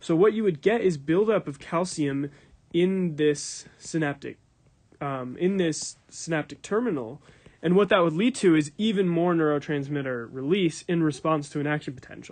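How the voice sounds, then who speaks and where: There is a quiet background as a man speaks in a fairly high voice. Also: ordinary pitch variation. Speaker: neuroscience lecturer. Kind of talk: recorded lecture. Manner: fast.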